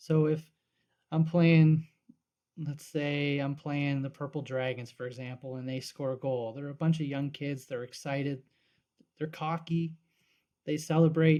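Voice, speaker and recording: In a very clean recording with a silent background, a man with a Canadian Maritime accent speaks slowly enough to be called fairly slow, with a fairly high pitch, a dark, mellow tone, monotone, flat intonation and long, frequent pauses. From Nova Scotia, Annapolis Valley. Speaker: sports podcast co-host. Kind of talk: casual chat.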